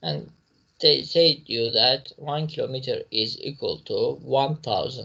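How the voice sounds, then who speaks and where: At a very slow pace, a man speaks. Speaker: physics teacher. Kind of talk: lecture.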